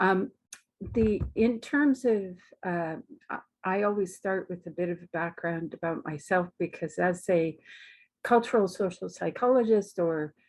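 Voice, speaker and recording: In a Canadian accent, a woman with an unremarkable speaking voice talks fairly slowly at a medium pitch, her pitch varying normally against a quiet background. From Canada. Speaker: academic researcher, psychologist. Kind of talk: webinar talk. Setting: online webinar.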